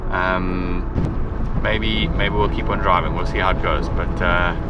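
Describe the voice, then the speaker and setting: A man speaks at a very slow pace. Loud background noise runs behind him. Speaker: travel vlogger. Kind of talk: casual vlog chat. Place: car. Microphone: phone near.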